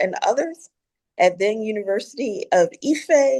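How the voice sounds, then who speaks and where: Speaking with an American accent at a fairly slow pace, a woman lets her pitch swing very widely. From US Northeast, Philadelphia. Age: 60s. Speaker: philanthropy founder and anthropologist. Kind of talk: podcast interview.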